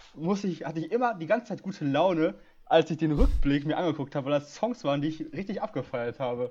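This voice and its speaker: A man with a fairly high pitch, lively intonation and a very fast pace. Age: 20s. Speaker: podcast host. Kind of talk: casual chat.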